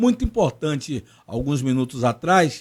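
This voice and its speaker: A man speaks at a moderate pace. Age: 50s. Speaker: podcast host. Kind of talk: interview.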